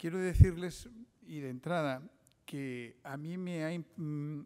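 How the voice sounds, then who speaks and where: A man's dark, mellow tone with ordinary pitch variation, in a very clean recording with a silent background. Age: 60s. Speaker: investigative journalist. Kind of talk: conference talk. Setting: seminar with audience. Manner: hesitant, with frequent fillers and restarts.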